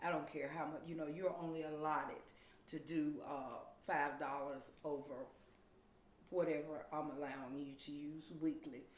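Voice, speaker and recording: A woman speaks at a moderate pace with a very deep, low pitch. Her intonation is monotone and flat, with audible room echo. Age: 50s. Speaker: domestic violence advocate. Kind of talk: interview.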